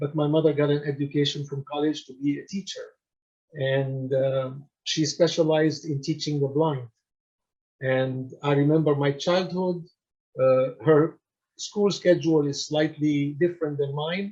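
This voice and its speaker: A dark, mellow, somewhat breathy tone at a moderate pace, with fairly even intonation. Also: man, fairly high pitch for a man. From Syria. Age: 60s. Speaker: nonprofit founder and retired karate practitioner. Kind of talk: lecture. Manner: halting, many fillers.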